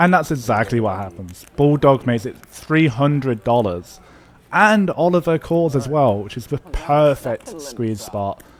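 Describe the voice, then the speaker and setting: In an English accent, a man talks at a medium pitch. His pitch swings very widely. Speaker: poker vlogger. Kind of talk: voiceover commentary. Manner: casual.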